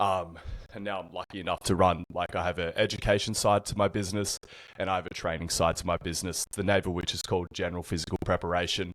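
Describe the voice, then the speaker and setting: Very deep and low, a man speaks at a very fast pace with an Australian accent and monotone, flat intonation. The sound is dry and close with no echo, on a very clean recording with a silent background. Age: 30s. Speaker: personal trainer. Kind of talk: podcast interview.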